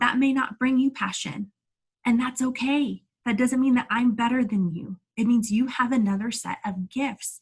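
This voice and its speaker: This woman has a high-pitched voice with ordinary pitch variation. She speaks at a moderate pace in an energetic, animated tone. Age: 30s. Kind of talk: inspirational talk to online audience. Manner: stumbling over words at times.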